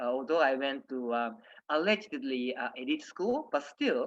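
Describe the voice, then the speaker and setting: Against a quiet background, a man speaks with a Japanese accent at a fairly slow pace. His pitch is medium, with ordinary variation. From Japan, Nagoya. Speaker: diplomat. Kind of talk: presentation talk. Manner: halting, many fillers.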